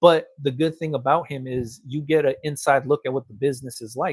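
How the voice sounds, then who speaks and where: A man with an American accent and a fairly high, somewhat breathy voice sounds animated, recorded with a dry, close sound with no echo on a very clean recording with a silent background. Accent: Los Angeles accent, noted by cousins. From Los Angeles. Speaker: t-shirt printing business owner and content creator. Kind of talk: casual livestream chat. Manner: casual, animated.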